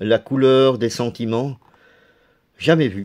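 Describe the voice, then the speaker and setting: Fairly even intonation from a man, delivered at a very slow pace. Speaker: DVD collector youtuber. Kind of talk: casual video presentation.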